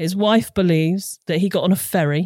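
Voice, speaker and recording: A woman with a British accent speaks at a moderate pace in a fairly low, dark, mellow voice with fairly even intonation, on a very clean recording with a silent background. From southern England, Hampshire. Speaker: crime podcast writer. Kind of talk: storytelling.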